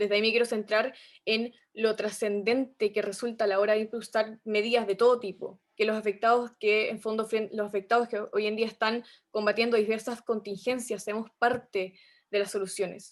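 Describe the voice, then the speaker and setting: Against a quiet background, a woman speaks at a moderate pace in a fairly high pitch with monotone, flat intonation. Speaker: youth activist. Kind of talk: panel discussion.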